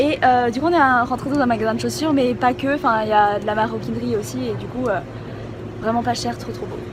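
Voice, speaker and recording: Noticeable background noise runs under a woman who talks fairly quickly. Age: 20s. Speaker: beauty vlogger. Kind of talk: casual vlog talk to camera. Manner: excited, enthusiastic.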